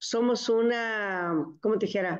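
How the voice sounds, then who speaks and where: The speech has fairly even intonation, heard against a quiet background. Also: woman. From Mexico, Michoacán. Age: 70s. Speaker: network marketing distributor. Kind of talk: testimony. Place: home room. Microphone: video call.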